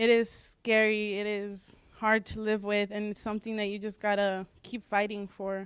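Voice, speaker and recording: A woman with a Spanish accent speaks at medium pitch in a monotone, flat intonation, with hardly any pauses, in a very clean recording with a silent background. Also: moderate pace. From US (raised from age three), born in Mexico. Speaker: student panelist. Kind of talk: personal testimony on a panel.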